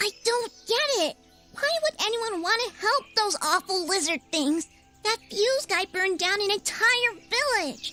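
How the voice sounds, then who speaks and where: An extremely high-pitched, put-on character voice speaks at a fairly slow pace. Faint music plays in the background. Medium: video game. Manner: excitable.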